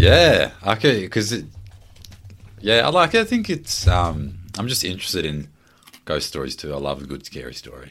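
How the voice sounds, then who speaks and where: Big swings in loudness from a man with an Australian accent, at a moderate pace. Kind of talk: casual chat.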